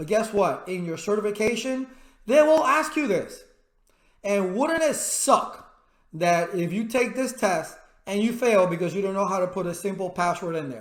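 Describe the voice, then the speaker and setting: A man talks loudly at a moderate pace in a high pitch. His tone is animated and his intonation lively, with audible room echo. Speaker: IT instructor. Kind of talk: tutorial.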